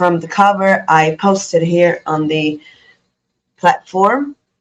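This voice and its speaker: A woman with an Italian accent speaks at a very slow pace. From Italy. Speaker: student and vlogger. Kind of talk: personal tribute monologue. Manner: halting, many fillers.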